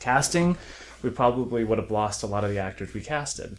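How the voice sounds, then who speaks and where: An unremarkable speaking voice with an American accent moves along at a moderate pace. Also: man. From South Florida then Orange County, California. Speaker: film writer and director. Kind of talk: casual interview chat.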